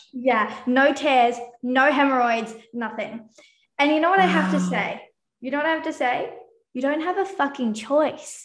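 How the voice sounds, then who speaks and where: Her voice is high in pitch, with lively intonation at a moderate pace. Room echo is audible around the woman. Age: 20s. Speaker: business consultant. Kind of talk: casual interview.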